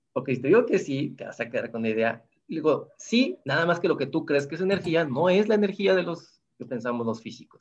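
Talking at a fairly quick clip, a man with a fairly high voice lets his pitch swing very widely. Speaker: physics professor. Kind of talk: interview.

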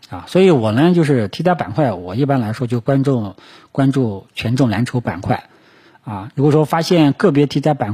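Somewhat breathy, medium-pitched male speech in a dark, mellow tone. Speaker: stock market commentator. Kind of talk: market analysis monologue. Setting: solo recording for video and podcast. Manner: frequent filler particles and hesitations.

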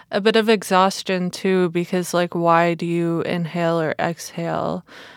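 A woman with a normal speaking voice and fairly low pitch talks at a fairly slow pace in a very clean recording with a silent background and a dry, close sound with no echo. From immigrant to Canada. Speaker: podcast host. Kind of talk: casual chat.

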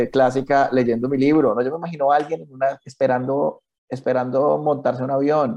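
Fairly even intonation in a man's plain, everyday voice of medium pitch. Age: 30s. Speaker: cartoonist. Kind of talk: interview.

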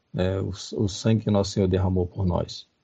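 At a moderate pace, a man speaks somewhat breathily at a fairly low pitch with monotone, flat intonation. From Rio de Janeiro, Brazil. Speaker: professor. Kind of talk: lecture-style talk. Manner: halting.

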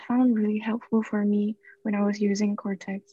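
Somewhat breathy and fairly high-pitched, a woman talks at a fairly slow pace in a dry, close sound with no echo and a quiet background. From Singapore. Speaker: university student. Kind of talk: casual chat.

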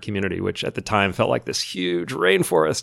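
A man speaks at a fairly quick pace and fairly low pitch. He has a normal speaking voice. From US Midwest, moved around a lot. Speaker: environmental strategy consultant. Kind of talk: interview.

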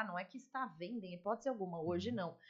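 Very fast pace with lively intonation. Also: woman. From São Paulo. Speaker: lawyer turned fashion store owner and mentor. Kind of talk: casual interview.

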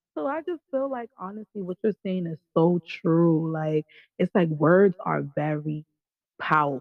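A woman's fairly low-pitched voice in a New York accent, lively in intonation, at a fairly slow pace. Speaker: caller. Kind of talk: casual chat. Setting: live call-in.

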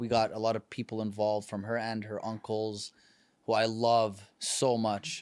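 A man with a Canadian accent, medium pitch and a moderate pace. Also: very clean recording, silent background. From Canada. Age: 30s. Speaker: podcast host and performer. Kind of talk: casual chat. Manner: animated.

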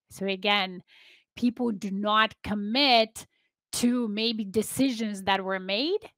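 A woman with a plain, everyday voice speaks at a fairly high pitch and a fairly slow pace, her intonation fairly even, in a dry, close sound with no echo. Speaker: leadership coach and founder. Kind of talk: interview, casual conversation.

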